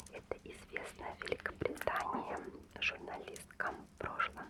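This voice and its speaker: A woman whispers at a very slow pace, with noticeable background noise behind her. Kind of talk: ASMR magazine flip-through. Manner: close whispered.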